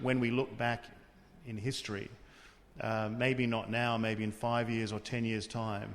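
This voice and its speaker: With an Australian accent, a man talks at medium pitch and a moderate pace in a flat monotone. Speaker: tribunal official. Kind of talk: interview.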